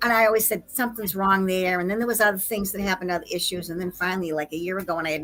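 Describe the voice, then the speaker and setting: Over music in the background, a woman with an American accent talks very fast in an animated tone, at medium pitch with ordinary pitch variation. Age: 60s. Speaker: conspiracy researcher. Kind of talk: casual chat. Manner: animated storytelling.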